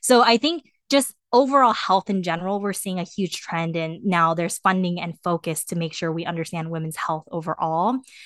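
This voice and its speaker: Recorded with a dry, close sound with no echo and a quiet background, a woman with an American accent speaks in an ordinary speaking voice, fairly low in pitch, with ordinary pitch variation, a moderate pace and hardly any pauses. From Korea until age eight, then US. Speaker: engineer and startup co-founder. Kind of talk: podcast interview.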